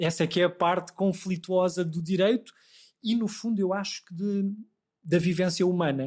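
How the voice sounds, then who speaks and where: Fairly even intonation runs through a man's speech at a moderate pace. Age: 40s. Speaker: law professor. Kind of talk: interview.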